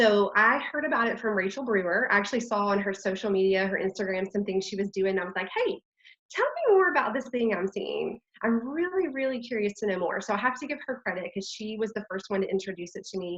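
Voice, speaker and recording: A woman's fairly high, animated voice in a strong Texan accent at a very fast pace, with ordinary pitch variation. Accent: Texas accent, strong. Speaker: network marketing leader. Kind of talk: online training talk.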